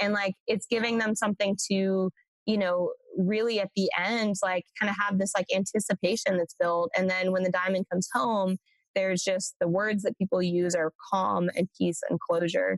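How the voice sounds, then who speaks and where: Speaking in a Californian accent at a moderate pace, a woman keeps a medium pitch and monotone, flat intonation in a dry, close sound with no echo. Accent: American (California). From Central Coast, California. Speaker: startup founder and CEO. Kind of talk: interview.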